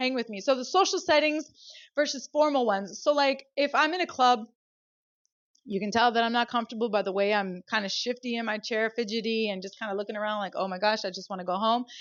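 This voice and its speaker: Very fast, animated speech from a woman, fairly high-pitched, with lively intonation. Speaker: podcast host. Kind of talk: solo podcast talk.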